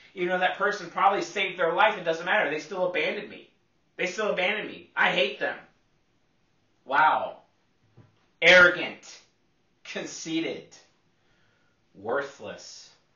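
Audible room echo surrounds a man with a high pitch who speaks at a moderate pace over a quiet background, pausing long and often as his loudness swings widely. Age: 30s. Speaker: personality psychology youtuber; personality type teacher. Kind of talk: lecture. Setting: solo video recording, one take. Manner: animated. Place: home room. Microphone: camera far.

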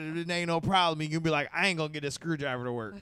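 Against a quiet background, a man speaks at high pitch with lively intonation in a dry sound with no echo. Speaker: podcast host. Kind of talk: casual banter, comedy podcast. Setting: studio. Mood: joking, laid-back, crude humor. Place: studio. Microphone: studio mic.

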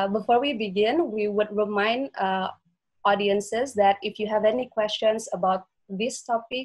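Against a quiet background, a somewhat breathy voice speaks at a moderate pace with fairly even intonation. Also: woman. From Indonesia. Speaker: webinar moderator. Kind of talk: moderated online interview. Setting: video call. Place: home room. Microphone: video call.

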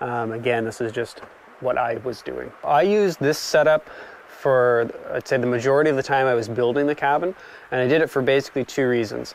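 A man's fairly quick delivery with ordinary pitch variation and a dry sound with no echo. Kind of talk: tutorial. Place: open country.

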